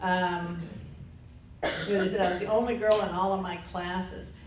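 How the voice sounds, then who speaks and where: A woman in an American accent, monotone and flat, at a moderate pace, with audible room echo and noticeable background noise. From Texas. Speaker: panel speaker, former student. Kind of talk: public talk recounting memories. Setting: lunch lecture with audience. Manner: conversational.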